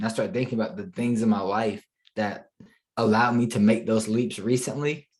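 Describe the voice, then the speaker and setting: This is an unremarkable speaking voice with an American accent. The pitch varies in an ordinary way. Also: man. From Charlotte, North Carolina. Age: 20s. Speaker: digital marketing entrepreneur. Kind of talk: podcast interview answer.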